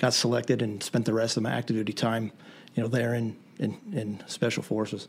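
He has a normal speaking voice of medium pitch with fairly even intonation. The man speaks at a fairly quick pace. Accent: American. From southern Pennsylvania, Lancaster County. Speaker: Army veteran and firearms instructor. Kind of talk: interview. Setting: studio.

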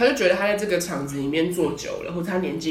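Amid audible room echo, a woman talks at a very fast pace with a fairly low pitch and ordinary pitch variation. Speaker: podcast co-host. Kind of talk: casual chat.

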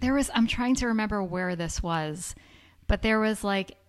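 A woman with an American accent and an ordinary speaking voice talks at a moderate pace and medium pitch, with ordinary pitch variation. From upstate New York. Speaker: podcast co-host. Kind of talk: casual chat.

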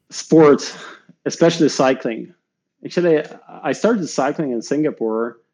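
Long, frequent pauses break up a man's moderate pace as he speaks in a Russian accent. His voice is fairly high and dark and mellow in tone, with ordinary pitch variation. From Russia, Moscow. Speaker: tech executive and angel investor. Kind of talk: interview. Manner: halting, many fillers.

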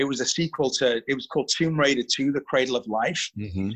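A man with an English accent, dry and close-sounding with no echo. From England. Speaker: actor. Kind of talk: casual chat.

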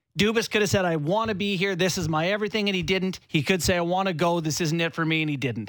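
In a very clean recording with a silent background, a man's high voice rises and falls in an ordinary way. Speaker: radio host. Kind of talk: casual sports radio chat.

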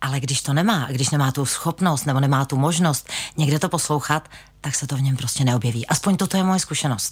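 A woman speaks at a fairly quick pace with very deep, low pitch. Her voice is somewhat breathy, with ordinary pitch variation. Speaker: language school owner and English teacher. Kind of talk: radio interview. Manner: halting, many filler sounds.

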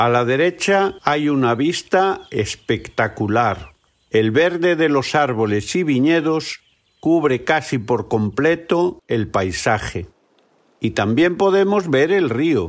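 A man at a very slow pace, lively in intonation, with very even loudness. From Galicia, Spain. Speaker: tour guide and guesthouse owner. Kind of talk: scripted narration.

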